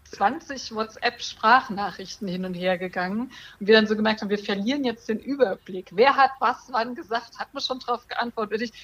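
A woman with a fairly high voice speaks at a moderate pace with lively intonation. Noticeable background noise runs behind her. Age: 40s. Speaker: breast cancer survivor, online community co-founder. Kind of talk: podcast interview.

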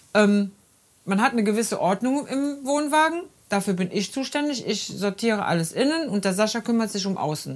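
A woman speaks with an unremarkable speaking voice at a moderate pace. Her pitch is fairly high and her intonation lively. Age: 50s. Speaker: podcast host, caretaker. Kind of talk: casual chat. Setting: in a caravan.

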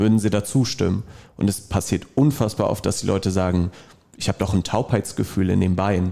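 Fairly low in pitch, a man speaks quickly with a dark, mellow tone and very even loudness. His pitch varies in an ordinary way, on a very clean recording with a silent background. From Dortmund, Germany. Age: 20s. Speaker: fitness trainer. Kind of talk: casual interview.

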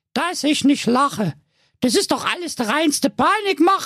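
At a moderate pace, a man puts on a character voice pitched extremely high. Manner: scoffing, laughing.

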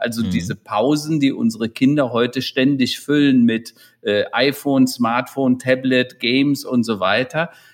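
The pace stays moderate in a normal speaking voice. Intonation remains fairly even. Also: man, medium pitch for a man. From Rhineland, Germany (near Hennef). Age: 60s. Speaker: digital transformation consultant and keynote speaker. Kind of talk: interview.

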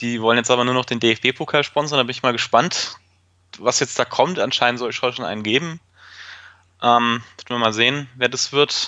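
A man speaks in an ordinary speaking voice at medium pitch. His pace is moderate and his intonation fairly even. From Fürth, Franconia, Germany. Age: 30s. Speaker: football fan. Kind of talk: casual chat.

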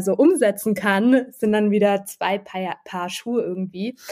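At a moderate pace, a woman with a normal speaking voice talks at a medium pitch with fairly even intonation. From Freiburg, southwestern Germany. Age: 30s. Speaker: project manager and food blogger. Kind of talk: casual interview.

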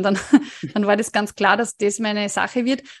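A woman speaks at a medium pitch and moderate pace with a slight Upper Austrian accent. The sound is dry and close with no echo, over a quiet background. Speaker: dietitian, nutrition scientist. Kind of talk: interview.

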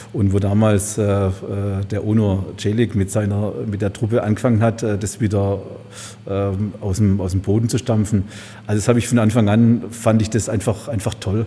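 Using a fairly low pitch, a man speaks at a moderate pace with monotone, flat intonation. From Heilbronn area, Baden-Württemberg. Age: 50s. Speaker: supermarket owner. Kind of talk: casual interview. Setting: event room above a supermarket. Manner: hesitant, many filler sounds.

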